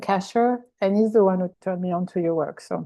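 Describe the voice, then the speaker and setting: In a French accent, a woman is talking. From French-speaking country. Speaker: workshop participant. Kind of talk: casual sharing. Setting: video call.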